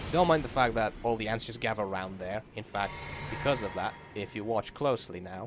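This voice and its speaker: With music in the background, a man speaks at a fairly quick pace in a fairly low pitch with ordinary pitch variation. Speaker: gaming youtuber. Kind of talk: gameplay commentary. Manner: mumbling; halting.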